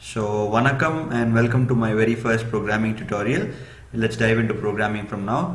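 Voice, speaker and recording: Speaking at a fairly quick pace with a Tamil accent, a man with a medium pitch shows ordinary pitch variation amid audible room echo and noticeable background noise. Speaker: programming tutor. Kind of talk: tutorial. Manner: hesitant, many fillers.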